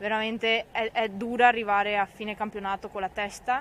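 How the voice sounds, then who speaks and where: A woman's flat, monotone delivery at a moderate pace, dry with no echo, over light background noise. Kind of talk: interview answer. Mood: calm, slightly disappointed after loss. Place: stadium. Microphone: handheld.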